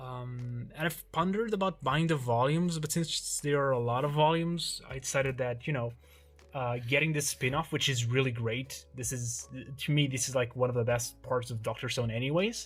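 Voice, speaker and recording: A man in a Portuguese accent talks with ordinary pitch variation as music plays in the background. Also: medium pitch for a man, moderate pace. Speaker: YouTuber, manga collector. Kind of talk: casual collection showcase. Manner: hesitant, many fillers.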